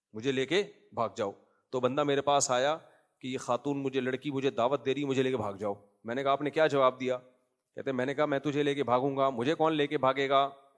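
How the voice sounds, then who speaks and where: A man with an ordinary speaking voice, medium pitch and fairly even intonation. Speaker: Islamic scholar giving a lecture. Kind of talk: Islamic sermon / lecture with humorous anecdotes. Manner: conversational, rhetorical questions, humorous.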